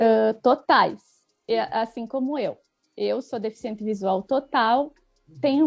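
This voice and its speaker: A woman speaks at a very slow pace with a high pitch and ordinary pitch variation. Music plays in the background. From Rio Grande do Sul, Brazil (Itaqui, Argentine border). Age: 30s. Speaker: writer. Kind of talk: casual interview chat.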